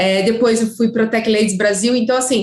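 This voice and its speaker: In a slight gaúcho accent, a woman talks at a moderate pace with ordinary pitch variation. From Curitiba, southern Brazil. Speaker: sports marketing professional, former footballer. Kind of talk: interview. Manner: hesitant, many fillers.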